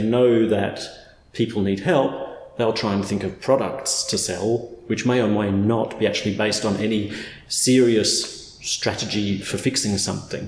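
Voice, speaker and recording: A man with a fairly low pitch talks over noticeable background noise. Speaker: accent coach, phonetician. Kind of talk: unscripted conversational explainer.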